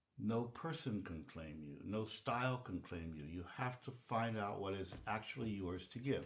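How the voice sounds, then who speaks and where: A man at a moderate pace, with audible room echo. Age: 80s+. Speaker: composer and music teacher. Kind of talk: casual interview conversation. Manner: halting, with many fillers.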